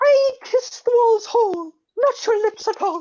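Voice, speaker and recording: A squeaky, extremely high-pitched put-on character voice from a woman. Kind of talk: comic overacting. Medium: stage play. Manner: melodramatic, fumbling.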